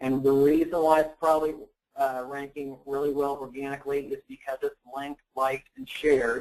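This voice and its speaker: A man speaks at a moderate pace in a fairly high pitch. His intonation is monotone and flat. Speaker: digital marketing expert presenting a webinar. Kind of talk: webinar presentation. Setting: online webinar.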